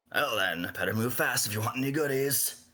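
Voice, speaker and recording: Putting on a raspy character voice at a medium pitch, a man speaks at a fairly quick pace on a very clean recording with a silent background. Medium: actual play. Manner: curt, commanding.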